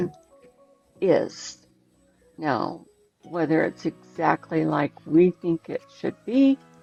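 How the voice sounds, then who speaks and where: A woman with a fairly low voice speaks at a very slow pace, pausing often and at length, in dry, close sound with no echo while music plays in the background. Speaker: podcast interviewer. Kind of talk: casual conversation.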